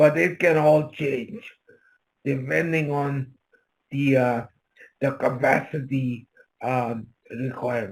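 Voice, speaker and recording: The speaker goes at a very slow pace with long, frequent pauses. The voice is somewhat breathy, with ordinary pitch variation. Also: man, fairly high pitch for a man. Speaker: presenter. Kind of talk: Q&A session. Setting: video call.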